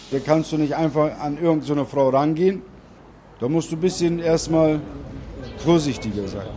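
A man at a fairly high pitch and moderate pace, with ordinary pitch variation, long, frequent pauses and noticeable background noise. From Bremen, Germany. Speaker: Turkish returnee. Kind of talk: interview.

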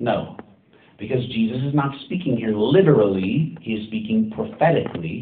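With audible room echo around him, a man speaks at a medium pitch with lively intonation. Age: 30s. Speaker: pastor. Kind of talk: sermon.

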